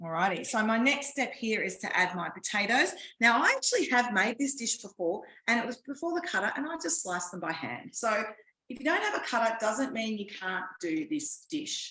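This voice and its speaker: With an Australian accent, a woman talks at a fairly quick pace and fairly high pitch, her voice making very wide pitch swings. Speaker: cooking demonstrator. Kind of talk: live cooking class. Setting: home kitchen, online class.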